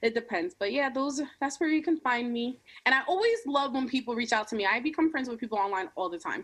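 Lively intonation marks a woman's high-pitched voice. She speaks at a very fast pace. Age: 20s. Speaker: YouTube creator. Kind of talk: casual chat.

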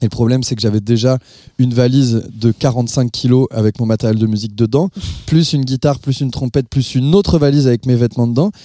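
Dry and close with no echo, a man's dark, mellow tone at a medium pitch moves at a very fast pace with very even loudness and ordinary pitch variation. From northern France (Nord-Pas-de-Calais). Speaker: musician. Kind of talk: interview. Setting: his living room.

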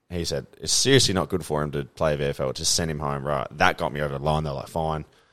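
A man with an Australian accent speaks at a fairly quick pace in a very deep, low pitch. The recording is very clean, with a silent background. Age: 20s. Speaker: former professional footballer. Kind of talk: casual chat.

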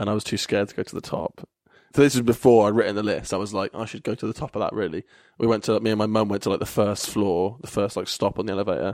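A man with an English accent, fairly low in pitch, very fast, with fairly even intonation, a dry, close sound with no echo, and a very clean recording over a silent background. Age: 20s. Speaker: comedian. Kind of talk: casual chat.

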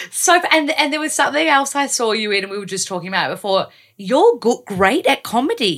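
Very wide pitch swings come at a fairly quick pace. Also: woman, high pitch for a woman. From Australia. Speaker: podcast host. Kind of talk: casual interview.

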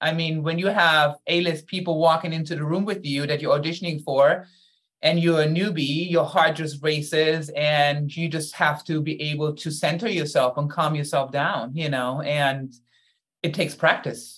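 Moderately paced speech in a German accent, with fairly even intonation. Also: woman, very deep, low pitch for a woman. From Germany. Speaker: actor. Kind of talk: interview.

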